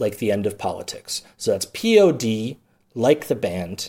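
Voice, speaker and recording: An Upper Midwest accent in a very clean recording with a silent background. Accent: Upper Midwest American. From Milwaukee, Wisconsin. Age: 40s. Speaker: podcast host. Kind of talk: comedic solo monologue. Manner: halting, many fillers.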